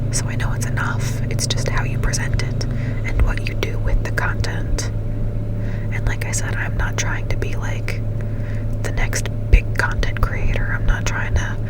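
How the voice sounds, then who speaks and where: Over noticeable background noise, a soft-spoken woman is whispering at a moderate pace. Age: 20s. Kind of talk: casual talk to camera. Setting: parked car with air conditioning running. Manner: whispered, soft-spoken.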